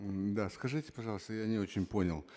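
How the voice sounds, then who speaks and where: With a dark, mellow tone, a man speaks in a fairly low pitch with ordinary pitch variation. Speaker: member of parliament. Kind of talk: parliamentary debate. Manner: halting. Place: hall. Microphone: podium.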